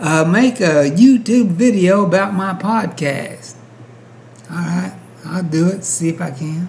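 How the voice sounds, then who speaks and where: A high-pitched man at a fairly slow pace with ordinary pitch variation, amid audible room echo and noticeable background noise. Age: 60s. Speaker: YouTube commentator. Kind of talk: casual commentary monologue.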